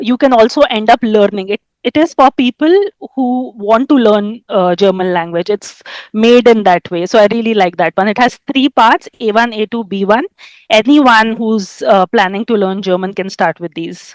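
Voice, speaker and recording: A woman with an Indian accent speaks at a moderate pace in a fairly high voice. The sound is dry and close, with no echo. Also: ordinary pitch variation. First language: Hindi. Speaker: German language coach. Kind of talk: interview.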